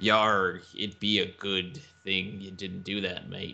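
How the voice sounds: In a put-on character voice, a man talks fairly slowly at a fairly low pitch.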